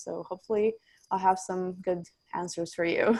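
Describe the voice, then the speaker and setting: Fairly quick delivery in a flat, monotone intonation. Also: woman. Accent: Romanian. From Romania. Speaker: recruiter. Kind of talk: panel introduction.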